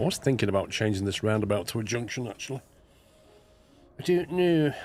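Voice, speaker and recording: Speaking with a British accent, a man at a medium pitch uses lively intonation and a fairly quick pace. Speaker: gaming streamer. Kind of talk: live gameplay stream chat. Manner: casual, chatty.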